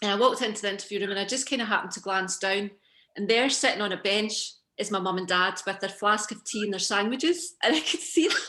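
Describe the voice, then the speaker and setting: A woman with a Scottish accent talks very fast at medium pitch, with ordinary pitch variation. Her tone is bright and sharp, and the background is quiet. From Scotland, Coatbridge. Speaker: fashion designer and business founder. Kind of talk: casual chat. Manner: animated.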